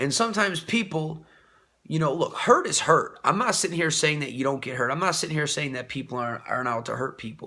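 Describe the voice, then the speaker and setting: A man with a bright, sharp tone and vocal fry talks at a fairly quick pace with lively intonation. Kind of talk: casual monologue. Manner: halting.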